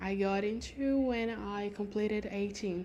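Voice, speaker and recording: A woman's fairly high, dark, mellow voice with a Brazilian Portuguese accent, fairly even intonation and audible room echo. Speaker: lifestyle vlogger. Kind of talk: casual chat. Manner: halting.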